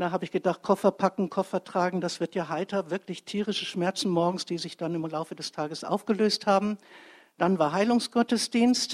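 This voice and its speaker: In a very clean recording with a silent background and a dry, close sound with no echo, a woman talks in a plain, everyday voice at a medium pitch, with ordinary pitch variation and a fairly quick pace. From Bremen, Germany. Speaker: churchgoer giving a live testimony. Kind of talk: live testimony. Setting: church stage with audience. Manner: chatty, lively, rambling.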